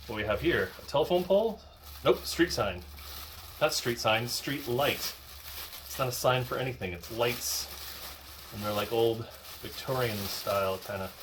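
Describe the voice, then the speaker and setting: Moderate pace with very wide pitch swings, long, frequent pauses and noticeable background noise. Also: man, medium pitch for a man. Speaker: YouTube unboxing creator. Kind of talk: casual unboxing commentary. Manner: whispering at times; hesitant, many fillers.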